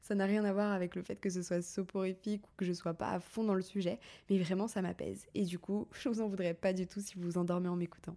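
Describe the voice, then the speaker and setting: Fairly quick and fairly even in intonation, a woman talks at medium pitch with a dark, mellow tone. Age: 30s. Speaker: podcast host, content creator. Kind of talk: casual monologue.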